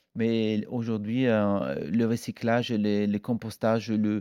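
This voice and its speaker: A man with an Italian accent speaks in a dark, mellow tone with fairly even intonation. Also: quiet background. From northern Italy. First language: Italian (speaking French). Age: 40s. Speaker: chef. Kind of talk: interview. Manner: halting, with many hesitations.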